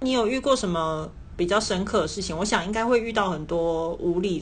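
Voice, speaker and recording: A woman's somewhat breathy, medium-pitched voice at a moderate pace, with ordinary pitch variation and audible room echo. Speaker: podcast host. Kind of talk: casual chat.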